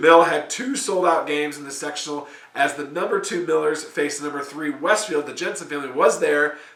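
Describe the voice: Using a put-on character voice, a man speaks hoarsely at a fairly quick pace, fairly high in pitch with ordinary pitch variation and a slight echo.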